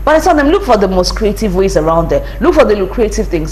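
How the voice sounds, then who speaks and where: A Nigerian accent amid noticeable background noise. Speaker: lawyer and brand strategist. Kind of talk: interview.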